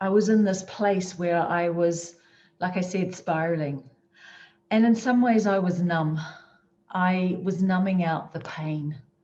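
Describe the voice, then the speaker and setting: Speaking at a fairly slow pace with a New Zealand accent, a woman uses a medium pitch, a dark, mellow tone, fairly even intonation and a somewhat breathy quality. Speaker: motivational speaker. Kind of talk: motivational talk. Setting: virtual conference session.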